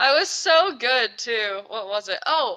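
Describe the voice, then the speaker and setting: Over noticeable background noise, a woman speaks at a fairly slow pace with very wide swings in pitch. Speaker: podcast host. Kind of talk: casual chat.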